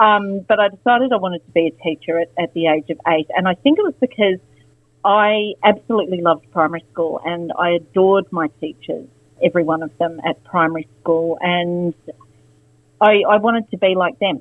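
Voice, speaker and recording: Fairly quick speech in an Australian accent with ordinary pitch variation. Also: woman, fairly low pitch for a woman. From Australia, Canberra. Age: 50s. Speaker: former teacher. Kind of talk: interview. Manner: hesitant, many fillers.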